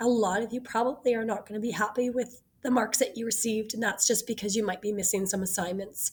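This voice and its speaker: Fairly high in pitch and somewhat breathy, a woman speaks with fairly even intonation. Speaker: online teacher. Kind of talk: instructional video. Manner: hesitant, many fillers.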